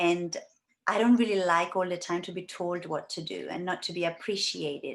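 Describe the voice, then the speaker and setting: A woman with an Italian accent speaks at a moderate pace, her pitch fairly low and her intonation fairly even. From Italy. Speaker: life coach and healer. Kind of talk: interview. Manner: hesitant, many fillers.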